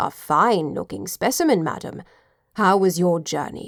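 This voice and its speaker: Putting on a growling character voice, a woman speaks at medium pitch. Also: moderate pace, ordinary pitch variation. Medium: read story. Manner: formal, deferential.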